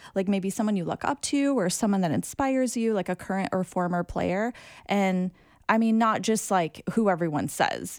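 In a very clean recording with a silent background, a woman with an American accent uses ordinary pitch variation in a normal speaking voice. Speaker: podcast host. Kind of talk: casual interview.

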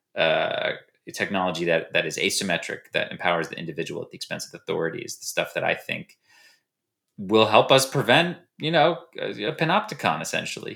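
A man with an American accent talks at a fairly quick pace with big swings in loudness, on a very clean recording with a silent background. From United States. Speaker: human rights strategist. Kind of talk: interview. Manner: halting.

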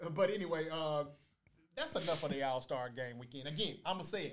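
With lively intonation, a man talks at a moderate pace in a fairly high pitch. Audible room echo surrounds his voice. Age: 40s. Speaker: podcast host. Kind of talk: casual debate chat.

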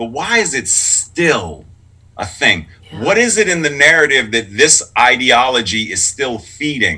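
A man with an American accent, fairly high and bright, sharp in tone, with vocal fry, very wide pitch swings and a fairly slow pace. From Pittsburgh, Pennsylvania. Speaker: clergy and sign language interpreter. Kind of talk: casual interview. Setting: video call. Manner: animated.

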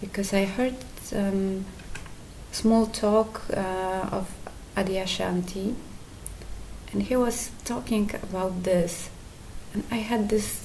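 Speaking at a very slow pace with long, frequent pauses, a woman with a Polish accent keeps a medium pitch and fairly even intonation. Noticeable background noise is present. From Poland. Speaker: satsang attendee asking question. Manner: halting.

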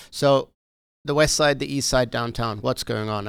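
In a very clean recording with a silent background, a man speaks with a South African accent. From South Africa, Johannesburg. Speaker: realtor. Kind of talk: casual interview.

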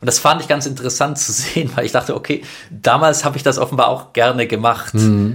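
A man with a plain, everyday voice speaks at a medium pitch and a fairly quick pace, with ordinary pitch variation, on a very clean recording with a silent background. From Stuttgart, Germany. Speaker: film director and activist. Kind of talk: casual interview.

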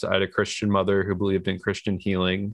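A man with an American accent and a fairly low pitch speaks in a monotone, flat intonation. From New York. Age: 20s. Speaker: person in recovery and filmmaker. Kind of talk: interview, personal story.

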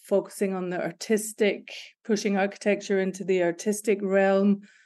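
Against a quiet background, a woman with a Scottish accent speaks at medium pitch and a moderate pace in a dark, mellow tone with monotone, flat intonation. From Scotland, Glasgow. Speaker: creative director. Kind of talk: interview. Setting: remote call.

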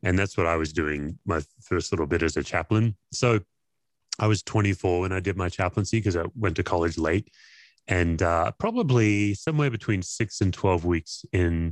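The voice has an Australian accent and a moderate pace with ordinary pitch variation. Loudness is very even, in a dry, close sound with no echo against a quiet background. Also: man, very deep, low pitch for a man. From Australia, Perth. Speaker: pastor and former chaplain. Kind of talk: interview conversation.

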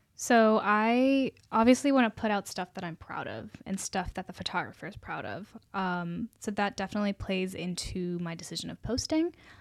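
A woman with an American accent and a normal speaking voice, medium pitch and ordinary pitch variation, at a moderate pace with hardly any pauses and big swings in loudness, in a dry, close sound with no echo on a very clean recording with a silent background. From US, Virginia (Charlottesville), South Indian family. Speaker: model and nursing student. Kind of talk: casual interview.

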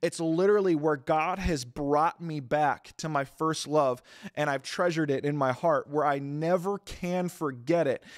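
Speaking at a moderate pace with hardly any pauses, a man with an ordinary speaking voice and a fairly high pitch keeps a fairly even intonation on a very clean recording with a silent background. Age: 20s. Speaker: pastor. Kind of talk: sermon. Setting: church service, also streamed.

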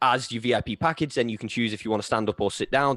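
Recorded very cleanly against a silent background, a man talks at a very fast pace in a medium pitch with ordinary pitch variation. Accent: Lancashire. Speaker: podcast host, fan page runner. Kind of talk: casual chat.

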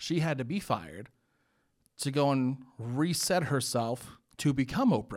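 A man with an ordinary speaking voice and medium pitch talks at a fairly slow pace with lively intonation on a very clean recording with a silent background. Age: 20s. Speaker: podcast host. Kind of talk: casual chat. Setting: studio.

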